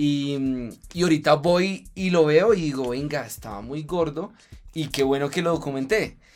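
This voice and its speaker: A man's fairly high voice, an ordinary speaking voice, at a fairly slow pace with ordinary pitch variation. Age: 30s. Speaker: fitness influencer and triathlete. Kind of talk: casual interview chat.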